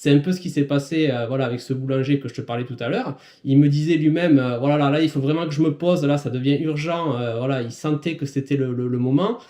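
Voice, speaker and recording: At a fairly quick pace with hardly any pauses, a man speaks in a fairly high pitch with a dark, mellow tone and fairly even intonation. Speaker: business coach for small firms and self-employed. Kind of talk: podcast monologue, advice talk. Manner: casual, many hesitations and fillers.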